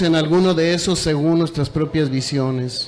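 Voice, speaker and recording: A man's voice carries audible room echo, with noticeable noise in the background. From Mexico. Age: 60s. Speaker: teachers' union leader. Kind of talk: conference speech. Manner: animated, repetitive emphasis.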